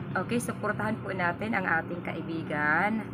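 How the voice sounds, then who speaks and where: A woman speaks at a fairly slow pace with a fairly low pitch. Noticeable background noise is present. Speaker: vlogger. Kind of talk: casual vlog shout-outs. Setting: outdoors by a road. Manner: loud.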